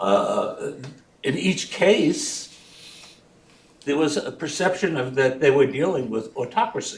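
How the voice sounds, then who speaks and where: A man speaks at a fairly slow pace with long, frequent pauses, over noticeable background noise. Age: 70s. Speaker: audience member asking a question. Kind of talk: audience Q&A comment. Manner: halting, many fillers.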